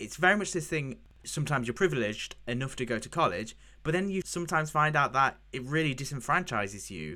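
Very wide pitch swings from a man with a British accent, bright, sharp tone, in a very clean recording with a silent background. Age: 20s. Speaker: podcast host, web developer. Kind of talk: casual interview.

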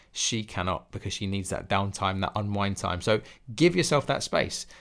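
The recording is very clean, with a silent background. A man talks at a very fast pace in a fairly low pitch, with an English accent. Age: 30s. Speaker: fitness coach and podcast host. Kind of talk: solo podcast monologue.

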